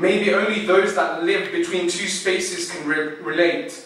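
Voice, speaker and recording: A man talks at a fairly slow pace in a high voice. Noticeable background noise runs behind him. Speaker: poet. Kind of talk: spoken word poetry performance. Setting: live event.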